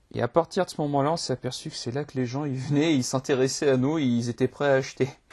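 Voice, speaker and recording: A man with a somewhat breathy voice and a dark, mellow tone talks at a fairly quick pace in a dry, close sound with no echo. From France, Limoges. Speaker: podcast host. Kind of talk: interview. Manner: hesitant, stammering.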